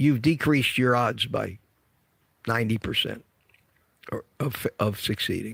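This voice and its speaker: A man speaks fairly slowly at a medium pitch with vocal fry. He leaves long, frequent pauses and varies his pitch in an ordinary way. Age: 70s. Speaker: carnivore diet health vlogger. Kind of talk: casual talk to camera. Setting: gym.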